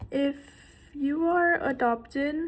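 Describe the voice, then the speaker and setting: This woman's voice sits high in pitch, with fairly even intonation. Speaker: vlogger. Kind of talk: casual monologue vlog. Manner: stuttering at times.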